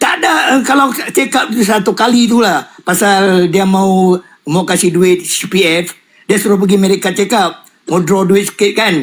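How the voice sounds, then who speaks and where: A man talks at a moderate pace in a high pitch, with ordinary pitch variation. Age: 60s. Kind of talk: casual chat. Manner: animated.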